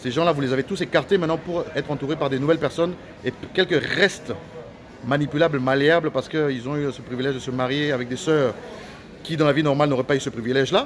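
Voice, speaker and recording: Noticeable background noise sits under a man talking very fast, his fairly high voice held to a fairly even intonation. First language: Lingala (speaking French). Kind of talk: angry video rant. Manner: halting, many repetitions.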